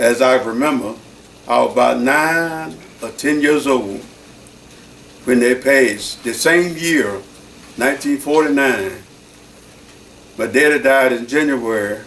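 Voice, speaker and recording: A man's medium-pitched voice at a fairly slow pace, with ordinary pitch variation, long, frequent pauses and audible room echo. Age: 80s+. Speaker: church deacon. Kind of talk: oral history interview.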